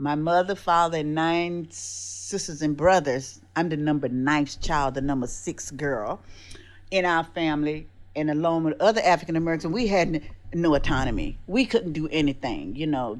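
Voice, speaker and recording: This is a woman's voice. Her pitch is very deep and low. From US South, South Carolina. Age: 70s. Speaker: podcast co-host. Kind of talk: casual chat.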